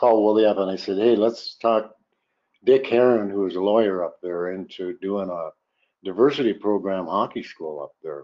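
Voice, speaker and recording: A man with an American accent talks at a moderate pace with ordinary pitch variation and big swings in loudness. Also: fairly low pitch for a man. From US Midwest. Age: 60s. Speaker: former hockey player. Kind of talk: podcast interview. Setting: video call.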